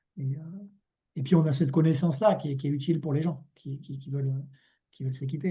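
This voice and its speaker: A man speaks in a dark, mellow tone. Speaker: cooperative volunteer presenting experience. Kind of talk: online meeting presentation. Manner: fast; hesitant, many repetitions.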